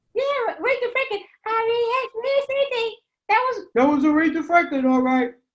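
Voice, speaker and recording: An extremely high-pitched cartoonish character voice swoops through very wide pitch swings at a moderate pace. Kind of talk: puppet show interview questions. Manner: excitable, wondering.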